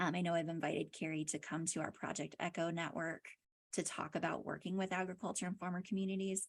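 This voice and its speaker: Fairly even intonation from a woman at a fairly quick pace. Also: very clean recording, silent background. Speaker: counseling researcher. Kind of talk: conference presentation. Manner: fast.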